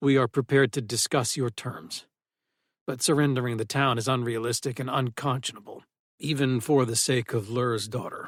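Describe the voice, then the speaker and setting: On a very clean recording with a silent background, a man does a put-on character voice at medium pitch and a moderate pace. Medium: read story. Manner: formal, measured, calm.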